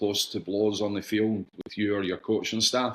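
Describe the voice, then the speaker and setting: A man's fairly low voice with a Scottish accent at a moderate pace, in a very clean recording with a silent background. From Scotland, Glasgow, raised partly in England. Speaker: soccer club executive, former player. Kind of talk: casual interview chat.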